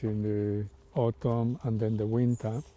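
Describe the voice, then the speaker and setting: At a fairly slow pace, a man talks in a monotone, flat delivery at a medium pitch. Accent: Spanish. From Spain. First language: Spanish. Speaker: artist. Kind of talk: interview. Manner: hesitant, many fillers.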